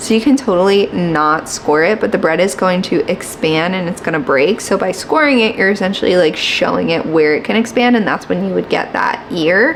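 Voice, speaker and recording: Quiet and lively in intonation, a woman talks at a fairly quick pace with hardly any pauses against noticeable background noise. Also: medium pitch for a woman. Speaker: lifestyle vlogger. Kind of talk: tutorial. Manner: casual.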